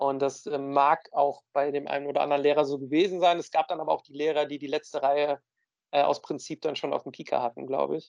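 Monotone and flat in intonation, a man talks at a fairly quick pace and a fairly high pitch, with a dry, close sound with no echo. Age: 30s. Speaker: podcast co-host, works in film. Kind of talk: casual chat.

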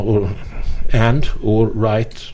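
A man with a non-native accent talks in a fairly low pitch and a dark, mellow tone. His intonation stays fairly even.

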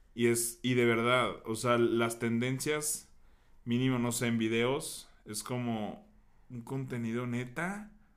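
A man speaks at a very slow pace with fairly even intonation. The room echo is audible. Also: medium pitch for a man. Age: 30s. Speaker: podcast co-host. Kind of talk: casual chat. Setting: studio.

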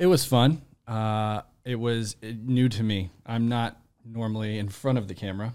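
A man with a plain, everyday voice talks at a medium pitch with fairly even intonation. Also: moderate pace. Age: 30s. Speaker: podcast producer and actor. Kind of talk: casual chat.

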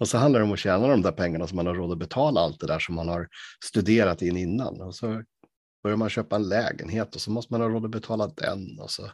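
Against a quiet background, a man speaks at a very fast pace with fairly low pitch and ordinary pitch variation. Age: 40s. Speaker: podcast host. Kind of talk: casual chat.

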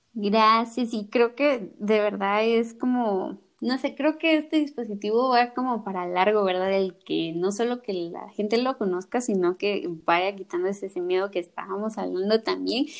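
An unremarkable speaking voice moves at a fairly slow pace with hardly any pauses and lively intonation, recorded very cleanly with a silent background. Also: woman, fairly high pitch for a woman. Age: 20s. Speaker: podcast host, architect. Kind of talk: casual interview chat.

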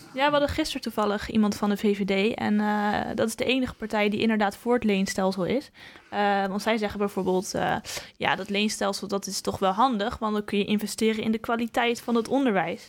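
Delivered in a plain, everyday voice, the speech moves at a fairly quick pace with fairly even intonation. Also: woman, medium pitch for a woman. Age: young. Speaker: podcast host. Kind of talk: interview. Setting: studio.

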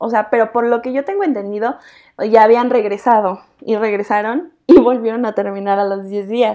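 A woman with a Mexican accent, fairly high in pitch with a dark, mellow tone, fairly even intonation and a moderate pace, against a quiet background. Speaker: podcast co-host. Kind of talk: casual chat.

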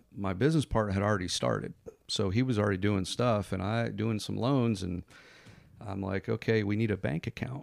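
Vocal fry runs through this voice with an American accent. It moves at a fairly quick pace with ordinary pitch variation. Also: man, fairly low pitch for a man. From US Northeast, Connecticut. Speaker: mortgage lender and business owner. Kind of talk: podcast interview.

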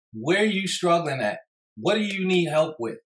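A man with an American accent, an ordinary speaking voice, ordinary pitch variation and a fairly quick pace. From New York City, Brooklyn. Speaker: podcast host. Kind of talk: casual monologue with storytelling. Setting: livestream.

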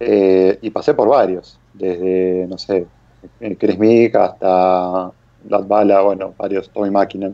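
Very slow, monotone speech from a man with an Argentine accent and a very deep, low pitch, the intonation flat throughout. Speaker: rally podcast co-host. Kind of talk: casual chat.

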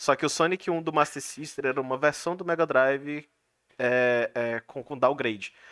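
A normal speaking voice at a moderate pace with ordinary pitch variation, dry and close with no echo. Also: man, fairly high pitch for a man. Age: 20s. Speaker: podcast host. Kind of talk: casual chat. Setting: live stream.

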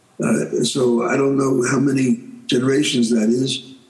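With an American accent, a man talks at a very slow pace in a medium pitch with fairly even intonation. Noticeable background noise is present. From New York. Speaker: rabbi and author. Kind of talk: interview. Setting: video call. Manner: halting.

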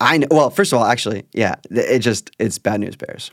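An ordinary speaking voice moves at a fairly quick pace with ordinary pitch variation, in a dry, close sound with no echo. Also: man. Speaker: podcast host. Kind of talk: casual chat.

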